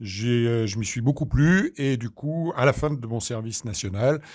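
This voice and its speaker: A man with a normal speaking voice at a medium pitch and ordinary pitch variation. The recording is very clean, with a silent background. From Normandy, Caen (Calvados). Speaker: doctor and regional politician. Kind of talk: interview.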